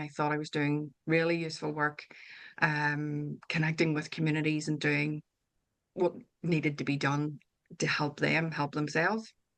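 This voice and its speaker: Over a quiet background, a woman with a very deep, low voice speaks at a moderate pace. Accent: Northern Irish. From Northern Ireland. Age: 50s. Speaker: author and wellbeing coach. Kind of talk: interview conversation. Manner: hesitant, with fillers and restarts.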